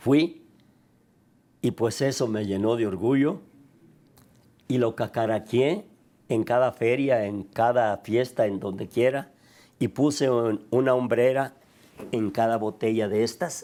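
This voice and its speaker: Very slow delivery with long, frequent pauses on a very clean recording with a silent background. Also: man, medium pitch for a man, ordinary pitch variation. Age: 80s+. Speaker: tequila maker, business founder. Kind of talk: interview.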